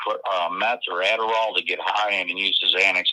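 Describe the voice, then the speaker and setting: A man is speaking. He has a northern US accent. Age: 50s. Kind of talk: casual chat.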